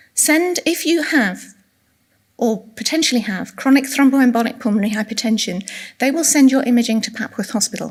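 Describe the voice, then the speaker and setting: Soft-spoken and in an English accent, a woman talks at a fairly quick pace with a high pitch and ordinary pitch variation. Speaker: retiring specialist nurse giving a conference talk. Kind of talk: conference lecture. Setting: conference room with audience.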